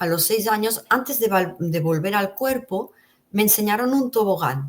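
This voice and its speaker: An unremarkable speaking voice with lively intonation. The pace is fairly slow. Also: woman, medium pitch for a woman. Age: 60s. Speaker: interview guest sharing near-death experiences. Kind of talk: testimony.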